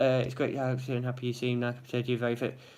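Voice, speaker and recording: A man speaks at a medium pitch in a Derby accent. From England, Derby. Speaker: vlogger in gambling addiction recovery. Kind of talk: live vlog, casual chat with viewers. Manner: fast.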